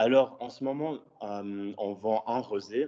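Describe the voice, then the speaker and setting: A man with a slight English accent speaks very slowly in a medium-pitched voice with a dark, mellow tone. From Switzerland. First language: English (speaking French). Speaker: student entrepreneur. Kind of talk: conference presentation. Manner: halting, many fillers.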